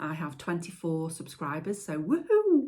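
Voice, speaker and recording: A woman speaks at a fairly quick pace in a somewhat breathy voice. The recording is very clean, with a silent background. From Stoke-on-Trent, England. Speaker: potter and video maker. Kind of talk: casual vlog talk to camera. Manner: hesitant, many fillers.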